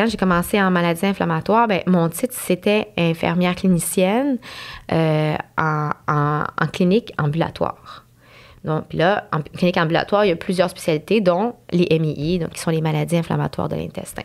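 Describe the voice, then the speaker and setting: This woman's voice sits fairly low in pitch. She talks at a moderate pace with ordinary pitch variation. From Montreal anglophone community, Quebec. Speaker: nurse. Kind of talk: podcast interview. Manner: hesitant, many fillers.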